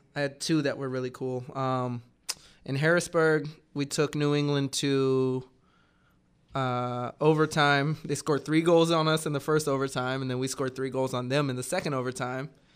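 Over a very clean recording with a silent background, a man with an American accent speaks at a moderate pace in a monotone, flat intonation. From US South, Georgia (Atlanta area). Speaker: retired professional soccer player. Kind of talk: casual interview. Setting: radio studio.

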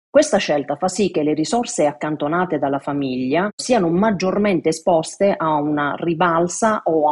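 A woman with a plain, everyday voice, fairly low in pitch, at a moderate pace with lively intonation. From Italy, Matera (Basilicata). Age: 50s. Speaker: financial and insurance advisor. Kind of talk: expert explanation. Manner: formal.

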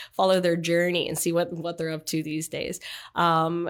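In a Canadian accent, a woman with a fairly low pitch talks at a fairly quick pace in a monotone, flat intonation, on a very clean recording with a silent background. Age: 30s. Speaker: athlete. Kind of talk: casual interview.

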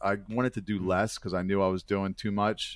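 Fairly low in pitch, a man with an American accent and a plain, everyday voice talks at a fairly quick pace on a very clean recording with a silent background. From Baltimore, Maryland. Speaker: nonprofit ministry founder, former stripper. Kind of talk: interview testimony.

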